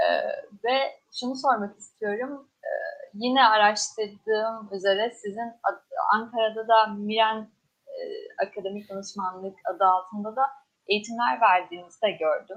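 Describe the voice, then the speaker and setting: Using a normal speaking voice, a woman talks at a fairly slow pace with a fairly high pitch and ordinary pitch variation. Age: young. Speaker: student event moderator. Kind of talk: interview.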